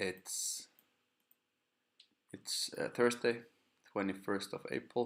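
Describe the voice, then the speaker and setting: A man talks very slowly. His voice is soft-spoken. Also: very clean recording, silent background. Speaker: forex trading stream host. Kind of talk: live stream talk. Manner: halting.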